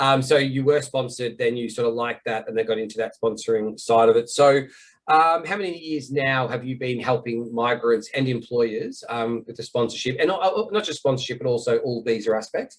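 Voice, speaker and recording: A man speaks with a slight Australian accent. He hardly pauses at all. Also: medium pitch for a man, ordinary pitch variation, fairly quick pace. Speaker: visa consultancy host. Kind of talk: interview.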